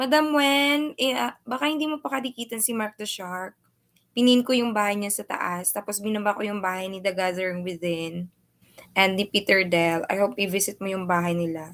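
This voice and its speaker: A woman talks at a fairly quick pace. Her pitch swings very widely. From Philippines, Bacolod. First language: Hiligaynon. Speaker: vlogger. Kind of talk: livestream chat.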